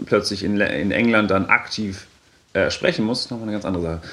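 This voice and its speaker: A man's speech runs at a very fast pace. His pitch is fairly low. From Franconia, Germany. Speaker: geography graduate. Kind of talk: interview.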